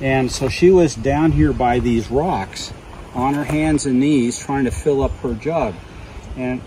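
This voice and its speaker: Noticeable background noise sits under a dry sound with no echo. A man speaks at a fairly slow pace. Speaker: storyteller at encounter site. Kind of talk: on-site storytelling narration. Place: forest. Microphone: camera far.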